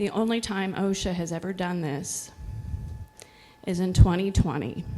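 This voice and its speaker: A quiet woman's voice at medium pitch, moderate pace and fairly even intonation, with noticeable background noise. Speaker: workplace safety expert; public commenter. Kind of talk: public comment.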